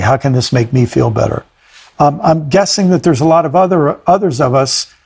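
A man with a normal speaking voice, fairly quick in pace, lively in intonation, at a very even loudness. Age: 60s. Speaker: podcast host. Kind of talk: casual reflective conversation.

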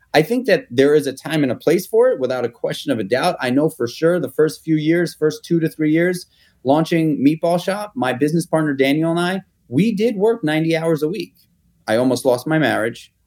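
A man with a New York accent, fairly quick pace and lively intonation. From New York City (Manhattan). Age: 40s. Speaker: restaurateur and entrepreneur. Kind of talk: interview. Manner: casual, with frequent repetitions and fillers.

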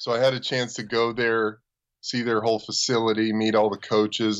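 A plain, everyday voice speaks with an American accent. The pace is fairly quick. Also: man. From US, Los Angeles. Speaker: former pro football player. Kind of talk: casual chat.

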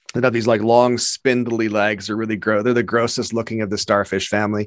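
A man with a Canadian accent and an unremarkable speaking voice, fairly low in pitch, with fairly even intonation, on a very clean recording with a silent background. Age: 50s. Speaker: comedy video creator. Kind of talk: casual chat.

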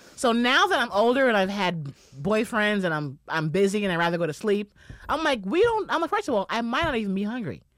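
With a New York accent, a woman speaks at a very fast pace. Her fairly high voice swings very widely in pitch. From Bronx, New York. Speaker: stand-up comedian. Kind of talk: casual chat.

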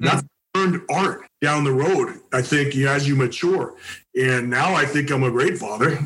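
A man talks in an unremarkable speaking voice, fairly high in pitch with ordinary pitch variation. His pace is moderate and his loudness very even. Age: 60s. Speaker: football coach. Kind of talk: casual chat.

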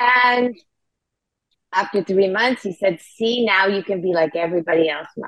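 With an ordinary speaking voice, a woman talks at a moderate pace and medium pitch, with ordinary pitch variation. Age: 60s. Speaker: founder of a sobriety community. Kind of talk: interview.

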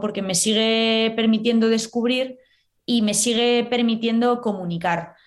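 A woman with an unremarkable speaking voice speaks at a fairly slow pace and a fairly high pitch, with ordinary pitch variation against a quiet background. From Spain, Valladolid. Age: 20s. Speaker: cheesemonger. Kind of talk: interview.

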